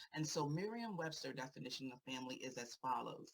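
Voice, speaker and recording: With an American accent, a woman talks at a fairly quick pace. Her pitch is very deep and low, and her intonation is lively. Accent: Virginia accent, noticed by others. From Virginia. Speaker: therapist and LGBTQ advocate. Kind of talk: prepared speech at a rally. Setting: rally panel.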